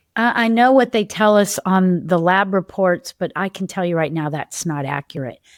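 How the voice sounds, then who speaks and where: Recorded very cleanly against a silent background, a woman speaks at a fairly slow pace with medium pitch and lively intonation in an ordinary speaking voice, the sound dry and close with no echo. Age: 60s. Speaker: developmental health practitioner and podcast host. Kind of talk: casual podcast monologue. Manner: conversational, with self-interruptions and repetitions.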